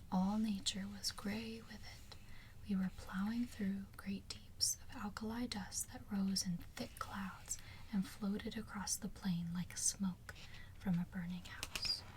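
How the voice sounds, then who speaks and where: A soft-spoken woman talks at a very slow pace. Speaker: ASMR creator. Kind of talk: ASMR soft-spoken reading and rambling.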